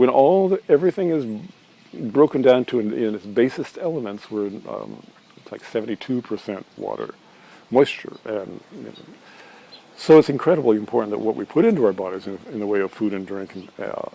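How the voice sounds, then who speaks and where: Over noticeable background noise, a man at medium pitch talks at a fairly quick pace with lively intonation, big swings in loudness and long, frequent pauses. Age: 60s. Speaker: holistic health practitioner and cooking video host. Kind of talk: casual health talk to camera. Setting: outdoors by a pool. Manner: halting, many fillers and restarts.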